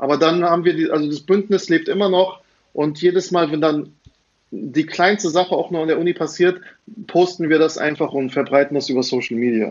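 In a plain, everyday voice, a man talks at a fairly quick pace with a fairly high pitch. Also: ordinary pitch variation. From Germany, Frankfurt. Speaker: teacher and podcaster. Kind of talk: casual chat.

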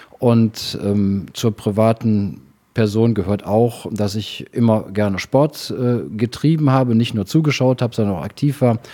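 Recorded very cleanly against a silent background, a man speaks at a fairly slow pace. His medium-pitched voice has a dark, mellow tone and ordinary pitch variation. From Rhineland, Germany (Engelskirchen). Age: 50s. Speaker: city treasurer and lawyer. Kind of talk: interview.

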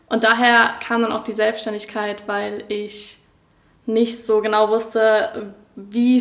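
A woman's fairly high-pitched voice. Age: 20s. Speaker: graphic designer and student. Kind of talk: casual interview.

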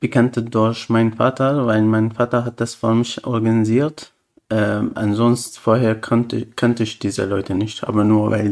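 Calm in tone, a man speaks at a moderate pace and medium pitch with monotone, flat intonation. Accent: Arabic. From Syria. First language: Arabic (speaking German). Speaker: refugee. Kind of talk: interview. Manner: halting.

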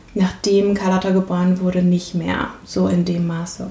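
A woman speaks rather slowly, with clear background noise throughout. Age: 30s. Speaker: systemic coach. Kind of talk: interview.

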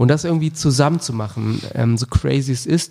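A man with a somewhat breathy, dark, mellow tone talks at a moderate pace. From Germany, Wolfsburg. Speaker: fitness center founder. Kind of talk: casual chat.

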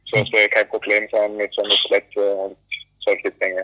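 In an English accent, a man talks at a fairly quick pace. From US, North Carolina. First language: English (speaking German). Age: 20s. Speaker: alpine ski racer. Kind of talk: interview. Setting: phone call from airport. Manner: halting. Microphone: poor phone audio quality.

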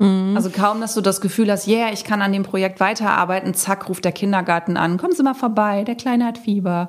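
This woman has an ordinary speaking voice. She talks at a fairly quick pace with ordinary pitch variation. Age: 40s. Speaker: self-employed content creator. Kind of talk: interview.

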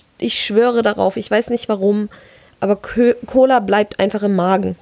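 A woman with fairly even intonation and a fairly high pitch speaks at a fairly slow pace. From Palatinate, Germany. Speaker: podcast co-host. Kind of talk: casual chat.

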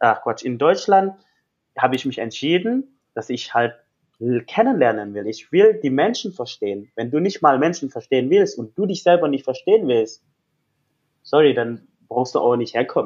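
In an Indonesian accent, the voice moves at a moderate pace with very wide pitch swings. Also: man. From Indonesia, Jakarta. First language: Indonesian (speaking German). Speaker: life coach. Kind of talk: interview.

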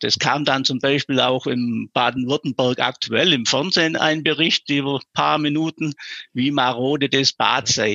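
This man has an ordinary speaking voice at a medium pitch. He talks at a fairly slow pace with fairly even intonation. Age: 50s. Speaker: local lifesaving club vice chair and councillor. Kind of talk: interview.

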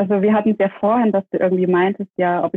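With fairly even intonation, this woman's voice holds a medium pitch. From Saxony, Dresden. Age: 30s. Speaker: police officer and former beauty queen. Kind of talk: interview.

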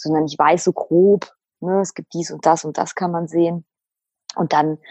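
A woman speaks with a fairly low pitch at a moderate pace. Her intonation stays monotone and flat. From Lower Saxony, Germany. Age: 30s. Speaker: single seeking a partner. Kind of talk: interview. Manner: talkative.

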